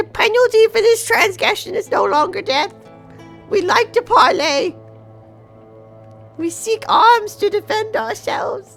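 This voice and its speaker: An extremely high-pitched put-on character voice at a moderate pace, with long, frequent pauses and faint music in the background. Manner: declaring loudly.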